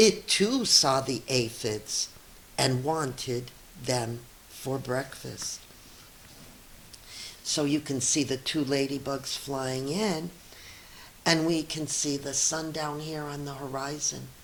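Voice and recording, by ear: A woman speaks slowly at an extremely low pitch with ordinary pitch variation. Long pauses come often, and room echo is audible.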